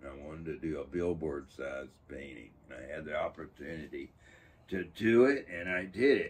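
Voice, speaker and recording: A man's very deep, low voice with vocal fry, lively intonation, big swings in loudness and a moderate pace, over light background noise. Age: 80s+. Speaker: artist. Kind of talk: interview. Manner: halting. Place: workshop.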